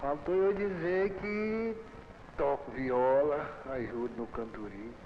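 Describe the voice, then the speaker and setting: A man's fairly high voice with very wide pitch swings at a very slow pace, amid noticeable background noise and audible room echo. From Brazil, Goiás, rural Luziânia. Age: 60s. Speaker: farmer. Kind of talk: documentary interview.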